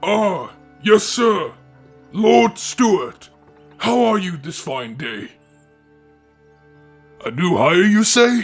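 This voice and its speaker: With faint music in the background, a man does a put-on character voice at a high pitch. His pace is very slow. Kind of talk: audio roleplay. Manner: calm, kind.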